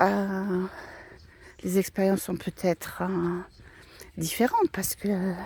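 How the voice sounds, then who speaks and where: A woman speaks at a very slow pace with long, frequent pauses. Her medium-pitched voice stays monotone and flat. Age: 60s. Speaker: vlogger. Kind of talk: personal reflection vlog. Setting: outdoors, walking in a wood. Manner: hesitant, many fillers and repetitions.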